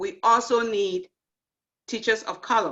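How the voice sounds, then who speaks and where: With an African accent, a woman talks at a fairly slow pace and a fairly high pitch, her tone bright and sharp and her intonation lively. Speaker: nurse educator and event host. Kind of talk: closing remarks at online panel event.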